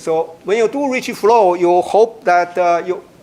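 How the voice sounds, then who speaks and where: A man talks over noticeable background noise. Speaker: mathematics researcher giving a talk. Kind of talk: lecture. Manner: halting, many fillers.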